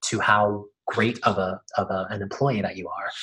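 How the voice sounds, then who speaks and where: A man speaks in a somewhat breathy voice. His pitch moves in an ordinary way. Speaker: resume coach. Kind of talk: workshop presentation. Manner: fast.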